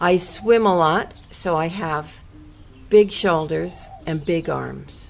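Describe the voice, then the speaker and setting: With music playing in the background, a woman speaks at a fairly low pitch and a very slow pace. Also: ordinary pitch variation. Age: 60s. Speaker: speaker describing herself for a listening exercise. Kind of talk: casual self-description.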